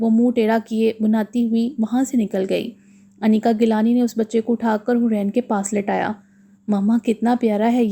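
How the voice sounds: Someone reads in a natural reading voice.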